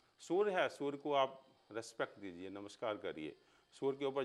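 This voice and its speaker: With vocal fry and very wide pitch swings, a man speaks at a moderate pace in a fairly high pitch. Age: 60s. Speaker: astrologer. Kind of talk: interview.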